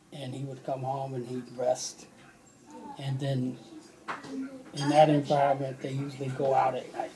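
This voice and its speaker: Over noticeable background noise, a man speaks at a medium pitch and a moderate pace in a flat monotone, leaving long, frequent pauses. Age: 70s. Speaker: interviewee, father of host. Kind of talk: family interview, personal memories.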